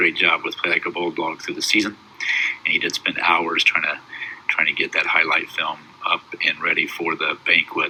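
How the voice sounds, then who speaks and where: A man speaking at a fairly quick pace over noticeable background noise. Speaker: high school basketball head coach. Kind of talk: awards banquet speech recorded at home. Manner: fast.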